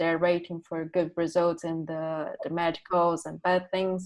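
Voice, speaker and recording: A woman speaks with a Brazilian Portuguese accent in a fairly low voice. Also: quiet background. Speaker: art student. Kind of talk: artist talk presenting work. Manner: halting, many fillers.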